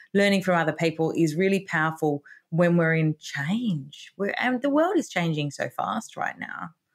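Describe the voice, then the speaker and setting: A woman's fairly low voice in an Australian accent, lively in intonation, at a moderate pace with hardly any pauses. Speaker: author and retirement educator. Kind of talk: interview podcast conversation.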